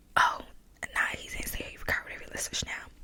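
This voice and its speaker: The speaker is a woman, whispering. There is noticeable background noise. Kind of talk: ASMR storytime, soft-spoken casual storytelling. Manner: soft-spoken, casual, conversational.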